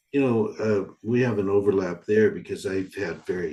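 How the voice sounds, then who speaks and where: Somewhat breathy and fairly low in pitch, a man speaks at a moderate pace with a dark, mellow tone. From US West Coast, Santa Barbara California. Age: 70s. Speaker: forest therapy organization founder. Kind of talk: online forum conversation.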